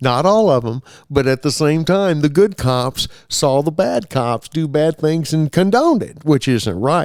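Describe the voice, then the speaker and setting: This man's voice sits at a fairly high pitch. He speaks at a fairly slow pace with lively intonation. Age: 60s. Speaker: local cyclist personality. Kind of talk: casual interview chat. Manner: halting, many fillers.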